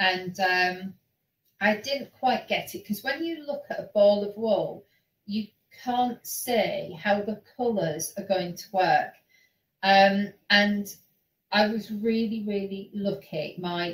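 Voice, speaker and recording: Somewhat breathy voice in a Yorkshire accent at a very slow pace, with big swings in loudness. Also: woman, medium pitch for a woman, ordinary pitch variation. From Yorkshire, northern England. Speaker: online knitting show host. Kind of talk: casual chat.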